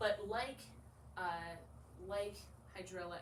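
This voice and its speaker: A woman's fairly slow speech amid noticeable background noise and audible room echo. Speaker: artist-in-residence giving a talk. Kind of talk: public presentation. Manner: hesitant, many fillers.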